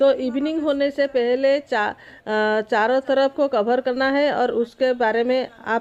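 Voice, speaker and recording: A woman with a high pitch speaks in fairly even intonation. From Odisha, India. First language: Odia (speaking Hindi). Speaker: travel vlogger. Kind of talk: travel vlog narration. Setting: outdoors. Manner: halting, with frequent fillers.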